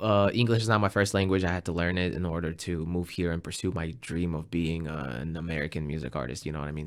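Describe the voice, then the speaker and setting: A man with a Russian accent speaks at a very deep, low pitch and a fairly quick pace, with vocal fry. His pitch varies in an ordinary way, and the recording is very clean with a silent background. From Russia, western Siberia. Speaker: musician and English teacher. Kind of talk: interview conversation.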